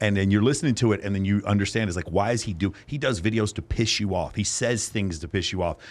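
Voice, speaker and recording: The speaker has an American accent and an animated tone. The pace is very fast, with hardly any pauses. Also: man, fairly low pitch for a man, ordinary pitch variation. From North Texas (East Dallas). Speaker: podcast host and men's coaching program leader. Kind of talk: casual chat.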